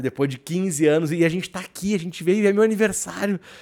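A man speaks at a fairly quick pace with a dark, mellow tone. The recording is very clean, with a silent background. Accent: gaúcho. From Rio Grande do Sul, southern Brazil. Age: 40s. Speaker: podcast co-host. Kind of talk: casual chat. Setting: studio.

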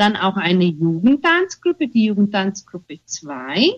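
At a very slow pace, a woman talks with a somewhat breathy, medium-pitched voice. Her intonation is lively. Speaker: theatre group leader. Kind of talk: radio interview. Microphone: unstable internet connection.

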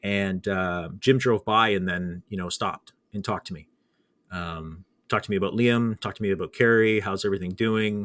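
Speaking with a Canadian accent, a man uses a plain, everyday voice at a fairly quick pace with fairly even intonation. The sound is dry and close without echo, and the recording is very clean against a silent background. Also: fairly low pitch for a man. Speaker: podcast host, former broadcaster. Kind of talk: casual interview chat. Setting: studio, live show.

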